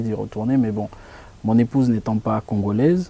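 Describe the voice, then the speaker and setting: The pace is fairly quick and the intonation fairly even. It is an ordinary speaking voice. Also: man. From DR Congo. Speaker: jurist and preacher. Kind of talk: interview.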